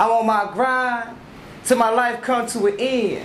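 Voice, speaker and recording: A man's voice with audible room echo. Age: 20s. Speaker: spoken word poet. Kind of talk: spoken word performance. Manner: stutter.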